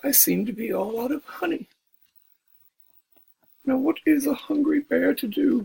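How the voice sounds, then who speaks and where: A man's put-on character voice, extremely high in pitch, at a moderate pace with long, frequent pauses. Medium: read story. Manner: gentle, slow, wondering.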